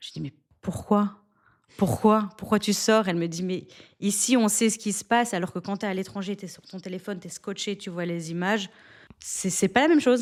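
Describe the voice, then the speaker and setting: A woman's unremarkable speaking voice, medium in pitch, fairly quick, with ordinary pitch variation. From Belgium (Antwerp, Flanders). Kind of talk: interview answer.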